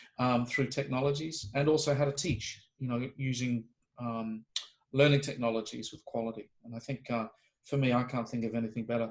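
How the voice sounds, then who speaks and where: Speaking in a New Zealand accent, a man with a medium pitch and a somewhat breathy voice talks at a fairly quick pace with fairly even intonation. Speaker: homeopathy professor. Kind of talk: interview conversation. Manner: halting, many fillers and restarts.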